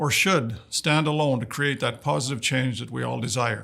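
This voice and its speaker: At a moderate pace, a man speaks with a Canadian accent. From northern Saskatchewan, Canada. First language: Woodland Cree. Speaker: dignitary giving greetings. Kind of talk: prepared formal address. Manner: formal.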